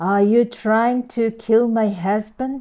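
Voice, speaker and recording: A woman puts on a character voice, pitched fairly high with fairly even intonation. She speaks at a very slow pace. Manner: threatening.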